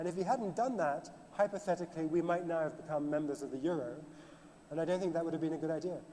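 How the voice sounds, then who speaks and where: Over noticeable background noise, a man with a British accent talks at a very fast pace, his voice high with ordinary pitch variation. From Britain. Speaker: author and financial journalist. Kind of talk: panel discussion.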